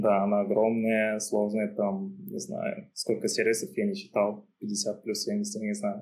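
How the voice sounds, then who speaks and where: A man talks at a very slow pace with hardly any pauses. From Uzbekistan, Tashkent. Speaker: backend engineer. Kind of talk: casual interview chat.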